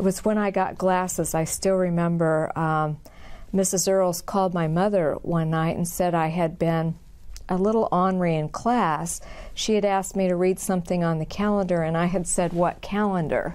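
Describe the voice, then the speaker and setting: Over a quiet background, the voice carries an American accent with monotone, flat intonation and very even loudness. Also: woman, fairly low pitch for a woman, moderate pace. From rural western Illinois. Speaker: university marketing executive; interviewee. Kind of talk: oral history interview. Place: studio.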